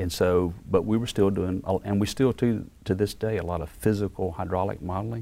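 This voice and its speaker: Speaking in a Mississippi accent, a man has a very deep, low pitch and fairly even intonation. He moves at a fairly quick pace with hardly any pauses. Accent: Southern US (Mississippi). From Mississippi (Perry County, rural south). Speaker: research center director, engineer. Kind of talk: interview.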